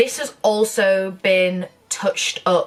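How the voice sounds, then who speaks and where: A woman's medium-pitched voice with a Northern English accent. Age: 20s. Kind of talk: casual talk to camera.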